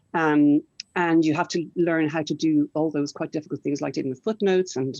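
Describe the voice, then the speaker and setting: A woman's very deep, low voice with an Irish accent, dark, mellow tone and ordinary pitch variation, the sound dry and close with no echo against a quiet background. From Ireland. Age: 60s. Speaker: children's writer and publisher. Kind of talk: panel discussion.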